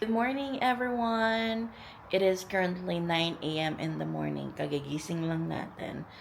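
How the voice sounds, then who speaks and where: A woman's medium-pitched voice, fairly slow and lively in intonation, with audible room echo. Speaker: vlogger. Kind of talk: casual vlog narration. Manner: casual, chatty.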